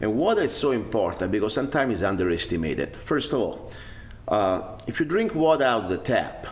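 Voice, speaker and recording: The speaker has an Italian accent, and audible echo fills the room. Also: man. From Italy (Rome). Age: 50s. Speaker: self-defense instructor. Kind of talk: video blog monologue. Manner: casual, hesitant with fillers.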